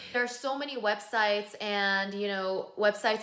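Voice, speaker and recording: Noticeable background noise sits behind a woman at a medium pitch. She talks at a moderate pace with a fairly even intonation. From South Korea, then US from age nine. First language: Korean. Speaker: pop singer and vlogger. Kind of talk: personal video monologue. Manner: earnest, emphatic with fillers.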